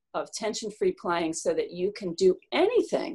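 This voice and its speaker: A woman with an American accent, a normal speaking voice, medium pitch and lively intonation. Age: 60s. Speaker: concert cellist and music teacher. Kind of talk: casual storytelling interview.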